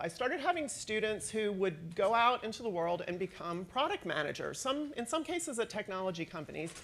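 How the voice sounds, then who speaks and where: A loud, fairly high female voice with very wide pitch swings. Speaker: professor. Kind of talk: conference talk.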